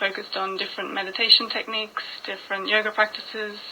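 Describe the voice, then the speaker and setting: Over noticeable background noise, a woman talks at a very fast pace in a fairly high, monotone, flat voice. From Australia, Byron Bay area (New South Wales). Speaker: yoga teacher. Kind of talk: radio interview. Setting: radio studio.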